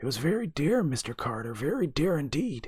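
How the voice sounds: A croaky put-on character voice from a man, fairly high-pitched, with very wide pitch swings at a moderate pace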